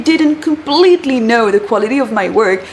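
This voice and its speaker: A woman talks at a moderate pace while background noise is noticeable. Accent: French. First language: French. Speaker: career coach, former recruiter. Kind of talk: vlog-style advice talk. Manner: animated.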